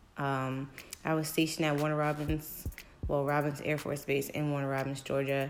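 Monotone, flat intonation at very even loudness, with audible room echo. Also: woman, very deep, low pitch for a woman, moderate pace. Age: 20s. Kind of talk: casual testimony.

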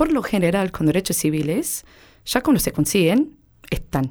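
Dark and mellow in tone, a woman speaks with an American accent. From United States. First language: English (speaking Spanish). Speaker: interviewee. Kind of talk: interview testimony.

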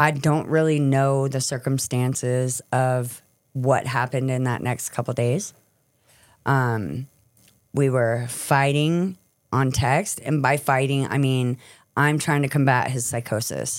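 In a very clean recording with a silent background, a woman with an American accent speaks fairly slowly at a very deep, low pitch with fairly even intonation. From California. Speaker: recovering addict and former prisoner telling her life story. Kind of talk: testimony.

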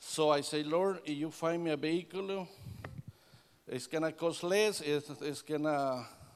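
A man with a Salvadoran accent speaks at a fairly slow pace and a fairly high pitch, with ordinary pitch variation. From El Salvador. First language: Spanish. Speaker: air conditioning business owner giving church testimony. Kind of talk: testimony. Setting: church service.

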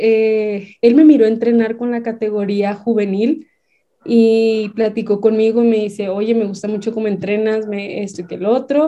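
A woman speaks at a moderate pace with fairly even intonation. Her fairly high voice has a dark, mellow tone. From Baja California, Mexico. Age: young. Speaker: basketball coach and sports entrepreneur. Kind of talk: casual interview.

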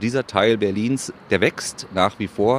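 A man talks at a moderate pace with ordinary pitch variation. It is a plain, everyday voice. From Berlin (Köpenick). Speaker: Berlin local, city guide. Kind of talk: casual interview chat.

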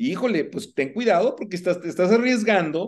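In a quiet background, a man's intonation sounds lively. He keeps to a moderate pace. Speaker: podcast host, personal finance coach. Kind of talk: interview. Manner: hesitant, many fillers.

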